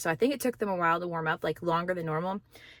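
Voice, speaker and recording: A woman talks with ordinary pitch variation. The recording is very clean, with a silent background. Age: 40s. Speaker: vlogger and amateur runner. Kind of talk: casual vlog. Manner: loud.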